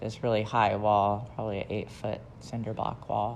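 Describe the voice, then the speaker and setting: A woman with an American accent speaks at a moderate pace in a very deep, low pitch, with audible room echo. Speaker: memoir narrator. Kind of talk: personal life story. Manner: hesitant, with fillers.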